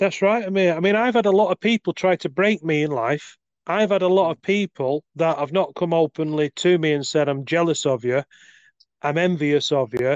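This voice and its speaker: A high-pitched man's voice in a British accent, very even in loudness, with a dry, close sound and no echo. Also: ordinary pitch variation, moderate pace, quiet background. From UK. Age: 40s. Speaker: life coach. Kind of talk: casual chat. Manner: talkative, long monologues.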